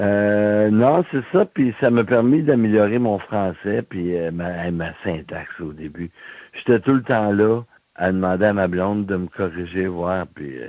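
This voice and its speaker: A man speaks in an ordinary speaking voice. His pitch is fairly low, with ordinary pitch variation. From Quebec City, Quebec. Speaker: blind musician. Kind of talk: interview.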